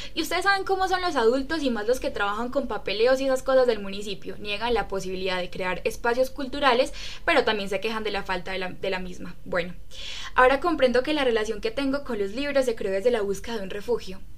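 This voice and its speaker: A woman speaks very fast with a high pitch and lively intonation. Audible echo fills the room. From Colombia, Riosucio, Caldas. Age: 20s. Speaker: book club podcast member. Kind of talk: casual chat.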